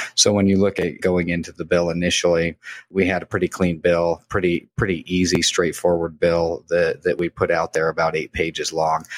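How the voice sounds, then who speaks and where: A man with an American accent speaks in a very deep, low voice at a moderate pace, monotone and flat, in a dry, close sound with no echo. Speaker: hemp equipment entrepreneur. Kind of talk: interview.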